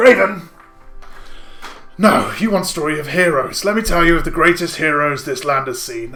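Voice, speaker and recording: Over faint music in the background, a man uses a wheezy, high-pitched put-on character voice at a moderate pace. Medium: actual play. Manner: gruff, theatrical storyteller.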